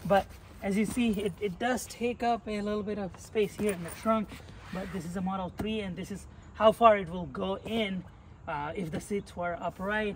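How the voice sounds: A man with a high pitch and a fairly bright tone talks at a fairly quick pace.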